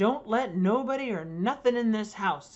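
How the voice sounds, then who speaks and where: A woman's gruff, put-on character voice, fairly high in pitch, at a moderate pace. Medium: read story. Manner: gruff, grumbling.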